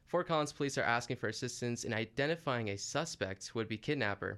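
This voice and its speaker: At a fairly quick pace, a plain, everyday voice talks with ordinary pitch variation. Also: man. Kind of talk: scripted local news bulletin read in a radio newscaster's style. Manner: formal, measured, steady newsreader delivery; brisk and matter-of-fact, reporting facts and police details.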